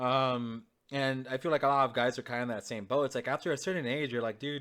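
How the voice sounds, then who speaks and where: On a very clean recording with a silent background, a man talks very fast at a medium pitch with fairly even intonation. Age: 20s. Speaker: podcast guest, gamer. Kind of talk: casual chat.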